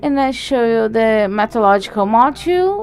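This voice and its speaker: A woman at a fairly high pitch over noticeable background noise. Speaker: conference speaker. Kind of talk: lecture. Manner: loud.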